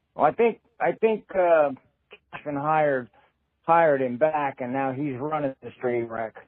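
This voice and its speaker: A man's fairly high voice, a normal speaking voice, with ordinary pitch variation and a fairly slow pace. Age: 60s. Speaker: caller. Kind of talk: voicemail.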